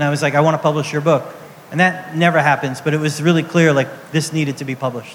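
Noticeable background noise behind a man's fairly high-pitched voice with monotone, flat intonation. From New York City (Brooklyn). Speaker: comics editor. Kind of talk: live interview on stage. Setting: outdoor stage with audience.

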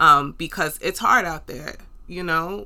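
Over a very clean, silent background, a woman with a New York accent speaks fairly slowly at a fairly low pitch, her bright, sharp tone showing ordinary pitch variation. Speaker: podcast host. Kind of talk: solo podcast monologue, motivational talk. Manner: animated, conversational.

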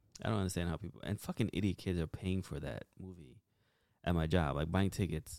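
A man's very deep, low voice with vocal fry at a fairly quick pace, dry and close with no echo. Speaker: podcast host. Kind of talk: casual banter, joking with spouse. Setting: home, living room. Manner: sarcastic, profane, teasing.

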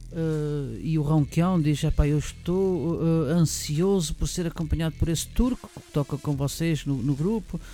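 At a fairly slow pace with hardly any pauses, the speaker shows ordinary pitch variation against noticeable background noise. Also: man, fairly high pitch for a man. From Portugal, Lisbon. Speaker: event organiser. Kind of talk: interview. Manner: halting.

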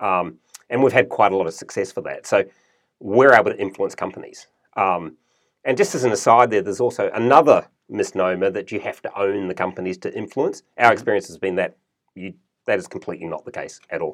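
A man talks at a fairly quick pace in a New Zealand accent. His loudness swings widely. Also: very clean recording, silent background. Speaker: investment fund manager. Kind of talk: interview. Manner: halting with fillers.

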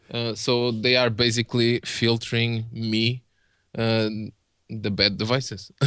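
Very slow speech in a Portuguese accent, with a bright, sharp tone. The intonation is monotone and flat over a quiet background. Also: man, medium pitch for a man. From Portugal. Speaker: vape reviewer on video channel. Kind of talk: casual interview chat. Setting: video call.

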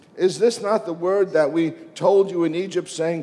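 Noticeable background noise behind a man with a high pitch, going at a fairly slow pace. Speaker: visiting preacher. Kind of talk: sermon preached in English with live translation. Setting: church. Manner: passionate, fervent, emphatic preacher cadence with praise and exclamations.

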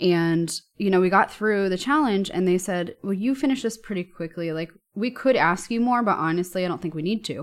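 A woman's plain, everyday voice at a medium pitch, with ordinary pitch variation, a fairly quick pace and an American accent. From US, New York. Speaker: software engineer and author. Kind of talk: casual podcast interview. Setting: remote recording from home.

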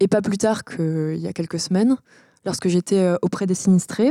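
Her voice has a dark, mellow tone at a medium pitch with ordinary pitch variation. This woman is recorded with a dry, close sound and no echo. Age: 20s. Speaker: student activist. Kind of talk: interview.

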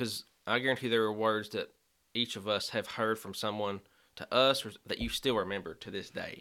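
Here a man speaks with a Kentucky accent at a moderate pace, his tone bright and sharp. The intonation is fairly even, and the recording is very clean with a silent background. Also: fairly low pitch for a man. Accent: Kentucky Southern American. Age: 20s. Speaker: youth minister. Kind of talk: casual chat.

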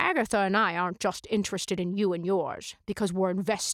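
The clip is plain reading aloud.

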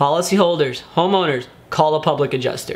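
A man with a high-pitched voice speaks at a very fast pace with ordinary pitch variation. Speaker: public adjuster and video show host. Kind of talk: solo video tutorial. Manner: animated.

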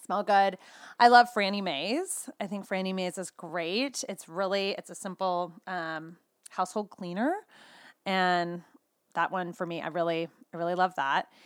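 Showing big swings in loudness, a woman with a West Coast US accent talks at a fairly slow pace in a very clean recording with a silent background. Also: medium pitch for a woman, ordinary pitch variation. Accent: General American (West Coast). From California. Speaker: skincare sales consultant and mom. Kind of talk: casual interview chat.

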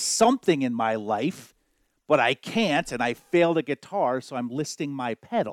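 A plain, everyday voice comes through with lively intonation at a moderate pace. The sound is dry and close, with no echo. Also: man. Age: 40s. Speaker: podcast co-host. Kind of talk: casual chat.

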